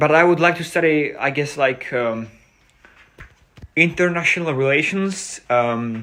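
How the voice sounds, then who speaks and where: At a fairly slow pace with long, frequent pauses, a man with a Czech accent speaks at a fairly high pitch in a bright, sharp tone and ordinary pitch variation. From Czech Republic. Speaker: streamer. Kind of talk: casual live stream chat. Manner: halting, unscripted.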